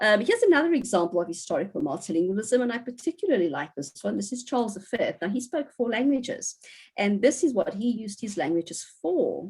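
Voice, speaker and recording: A woman speaks at a very fast pace in a fairly high, somewhat breathy voice. Her pitch swings very widely. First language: Portuguese. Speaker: university professor giving a guest lecture. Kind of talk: lecture. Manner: hesitant with frequent fillers.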